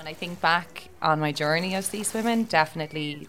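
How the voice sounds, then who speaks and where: Music plays in the background as a woman speaks in a Dublin accent. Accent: Dublin Irish. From Ireland, Dublin (Tallaght). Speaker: sea swimmer. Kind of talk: interview.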